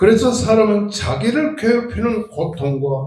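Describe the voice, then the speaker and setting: A man talks very slowly, his pitch swinging very widely. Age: 80s+. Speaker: pastor. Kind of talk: sermon. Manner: formal.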